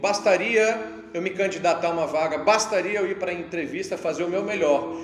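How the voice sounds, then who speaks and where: A man talks at a fairly quick pace in a high voice with lively intonation, with audible room echo and music in the background. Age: 40s. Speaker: pastor. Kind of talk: sermon. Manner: animated.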